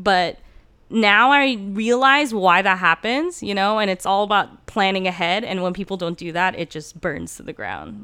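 On a very clean recording with a silent background, a woman speaks in a bright, sharp tone with ordinary pitch variation. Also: medium pitch for a woman, moderate pace. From Turkey, moved to California as a child. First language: Turkish. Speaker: speech and debate coach. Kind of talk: casual interview.

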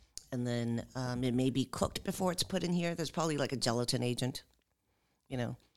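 Very fast and with ordinary pitch variation, a woman speaks at a very deep, low pitch. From Los Angeles, moved from Seoul at age five. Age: 50s. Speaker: housing and environmental justice advocate. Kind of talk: casual chat. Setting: studio. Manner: hesitant, many fillers.

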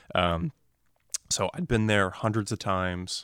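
A man with a fairly low pitch speaks in a Southwest US accent with fairly even intonation, in a very clean recording with a silent background and a dry, close sound with no echo. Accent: General American (Southwest US). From Arizona (North Phoenix), born in New Jersey. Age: 20s. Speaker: financial advisor sharing a personal faith story. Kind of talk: testimony in a casual interview. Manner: halting, many fillers and repeated words.

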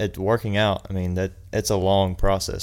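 A man's very deep, low voice in a flat monotone. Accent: Southern US. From South Carolina, US. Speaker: personal trainer. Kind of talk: casual chat.

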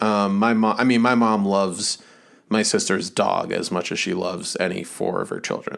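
With an ordinary speaking voice, a man talks at a moderate pace in a fairly low pitch, keeping his intonation fairly even. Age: 30s. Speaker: podcast co-host. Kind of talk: casual chat. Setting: video call.

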